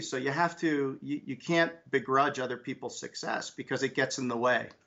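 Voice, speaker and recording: An unremarkable speaking voice, a man's, pitched fairly high and fairly even in intonation. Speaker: business leader. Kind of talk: interview conversation.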